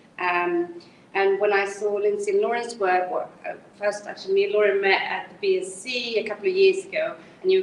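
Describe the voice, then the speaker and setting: Speaking at a fairly quick pace, a woman with a medium pitch and ordinary pitch variation is heard over noticeable background noise. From Sweden. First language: Swedish. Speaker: criminology researcher. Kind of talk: academic seminar talk. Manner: fast; hesitant, many fillers.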